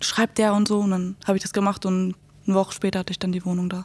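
A woman rattles off words at a very fast pace in a flat monotone at medium pitch. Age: 20s. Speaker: social work student. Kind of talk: casual chat.

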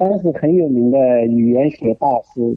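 A man talks in a medium pitch that rises and falls in an ordinary way. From China, Jinhua, Zhejiang. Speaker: art museum director. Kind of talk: radio interview. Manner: hesitant, many fillers.

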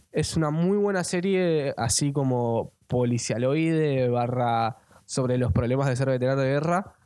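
A man's medium-pitched, dark, mellow voice at a fairly slow pace, with ordinary pitch variation, hardly any pauses and very even loudness. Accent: Rioplatense. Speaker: podcast co-host. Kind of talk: casual chat.

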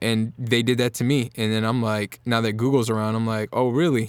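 A man speaks with an American accent in a monotone, flat intonation. The recording is very clean, with a silent background. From Norfolk, Virginia, US. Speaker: singer-songwriter. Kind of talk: casual chat.

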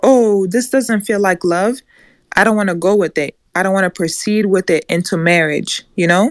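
A woman with an ordinary speaking voice talks at a moderate pace, with ordinary pitch variation and very even loudness. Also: medium pitch for a woman. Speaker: audience participant. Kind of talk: casual group discussion. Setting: live Clubhouse audio room.

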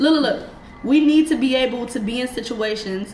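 A woman at a high pitch with ordinary pitch variation, speaking fairly quickly over noticeable background noise. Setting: studio.

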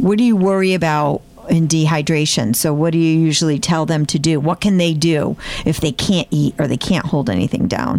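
A woman with fairly low pitch, ordinary pitch variation, a moderate pace and very even loudness. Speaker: health system podcast host. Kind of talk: interview. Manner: animated.

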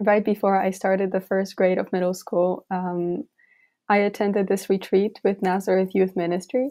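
A woman speaks with a Polish accent at a moderate pace. Her pitch is medium and her intonation is flat and monotone. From Poland. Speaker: university student, synod delegate. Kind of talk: interview.

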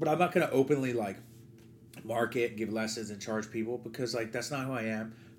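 This American-accented speaker has an unremarkable speaking voice, talks at a fairly quick pace, and shows ordinary pitch variation. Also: man, medium pitch for a man. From New Jersey. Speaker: baseball coach. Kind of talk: casual chat.

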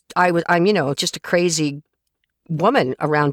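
This woman has an ordinary speaking voice, fairly low in pitch, and talks at a moderate pace. The sound is dry and close, with no echo. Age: 40s. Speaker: voice actor and audiobook narrator. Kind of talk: interview. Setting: home recording booth, remote interview.

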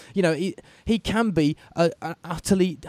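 Upbeat in tone, a man talks at a high pitch with ordinary pitch variation. His voice has a dark, mellow tone. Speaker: sports broadcaster and podcast host. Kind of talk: sports podcast chat. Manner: fast-paced, upbeat.

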